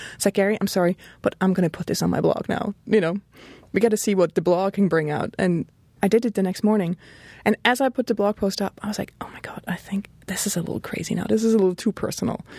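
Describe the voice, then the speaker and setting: In a Swiss German accent, a woman talks at a very fast pace with a medium pitch, fairly even intonation and a dark, mellow tone, recorded with a dry, close sound with no echo. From German-speaking northern Switzerland. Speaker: graphic designer and blogger. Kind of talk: interview conversation. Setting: studio.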